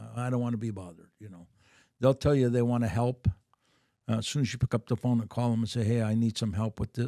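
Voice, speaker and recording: At a very fast pace, the dark, mellow voice swings widely in loudness while its intonation stays fairly even, heard in a dry, close sound with no echo. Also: man, medium pitch for a man. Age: 60s. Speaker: businessman and author. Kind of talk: casual interview chat.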